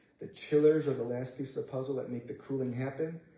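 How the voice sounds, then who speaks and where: A man with fairly even intonation, with audible room echo and noticeable background noise. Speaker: construction manager presenting to school board. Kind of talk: board meeting presentation. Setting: school board meeting. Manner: fast.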